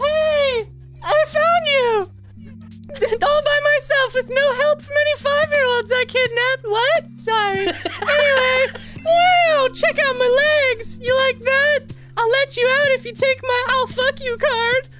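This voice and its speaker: A female-sounding voice uses a put-on character voice at an extremely high pitch. The pace is fairly slow. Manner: flirty, bubbly.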